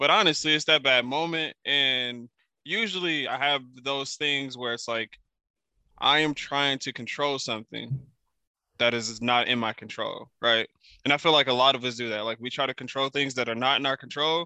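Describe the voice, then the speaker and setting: Delivered at a moderate pace, a man's medium-pitched voice shows ordinary pitch variation and is an ordinary speaking voice. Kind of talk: casual chat.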